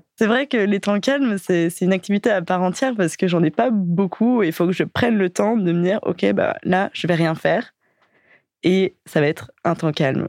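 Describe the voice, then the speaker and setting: A woman with a normal speaking voice talks at a medium pitch, her loudness very even and the sound dry and close with no echo. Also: lively intonation, moderate pace. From Paris suburbs, Val-de-Marne. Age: 20s. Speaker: dating profile guest. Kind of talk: casual interview.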